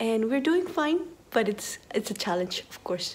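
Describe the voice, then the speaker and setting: At a moderate pace, a quiet voice speaks with lively intonation. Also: woman. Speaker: university lecturer. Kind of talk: video message. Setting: home office.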